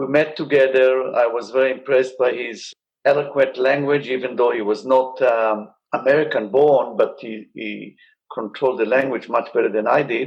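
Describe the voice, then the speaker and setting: A man with an Israeli accent, at a moderate pace, with fairly even intonation. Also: medium pitch for a man. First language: Hebrew. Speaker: surgeon. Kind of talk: interview.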